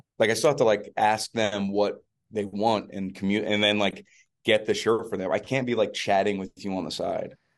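With an American accent, this is an unremarkable speaking voice moving at a moderate pace with fairly even intonation. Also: man, fairly low pitch for a man. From New Jersey. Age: 30s. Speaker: touring musician, podcast co-host. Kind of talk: casual chat. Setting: hotel room.

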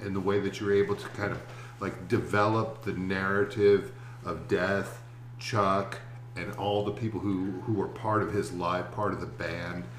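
A fairly slow delivery over noticeable background noise. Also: man. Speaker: podcast co-host and teacher. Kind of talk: casual interview. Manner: hesitant, repeats words.

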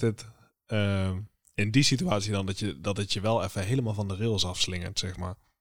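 On a very clean recording with a silent background, a man talks at a fairly quick pace in an ordinary speaking voice. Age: 20s. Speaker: podcast co-host, creative designer. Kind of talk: casual chat.

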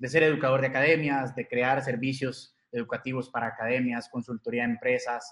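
At a moderate pace, a man speaks with medium pitch. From Costa Rica. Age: 30s. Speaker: crypto educator. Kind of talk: interview.

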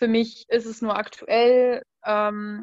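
A woman talks with fairly high pitch and monotone, flat intonation. The background is quiet. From western Germany, Rhein-Sieg district. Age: 20s. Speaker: food blogger. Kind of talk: casual interview.

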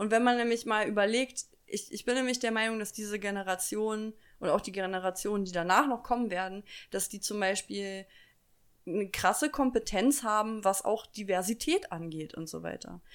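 This woman has a plain, everyday voice, pitched fairly high with ordinary pitch variation. She speaks at a moderate pace on a very clean recording with a silent background. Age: 20s. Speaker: podcast co-host. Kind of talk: casual chat. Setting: home kitchen.

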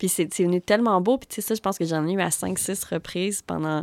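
Fairly quick speech with ordinary pitch variation, a dry, close sound with no echo and a very clean recording over a silent background. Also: woman. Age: 30s. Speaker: podcast host. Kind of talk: casual chat. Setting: music studio. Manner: calm.

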